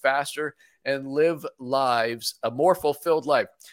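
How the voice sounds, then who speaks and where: A man with an unremarkable speaking voice talks at a fairly high pitch. The sound is dry and close with no echo, in a very clean recording with a silent background. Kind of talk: radio interview. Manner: upbeat.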